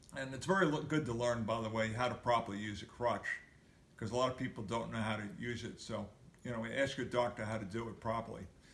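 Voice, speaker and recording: A man at medium pitch with ordinary pitch variation speaks at a fairly quick pace amid audible room echo. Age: 70s. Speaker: video blogger sharing injury recovery. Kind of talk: personal recovery update and exercise tips. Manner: halting, with many fillers.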